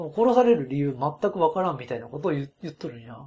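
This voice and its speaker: At a fairly quick pace, a man speaks in a dark, mellow, somewhat breathy tone, pitched fairly high, with very wide pitch swings. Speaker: podcast host. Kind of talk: casual chat.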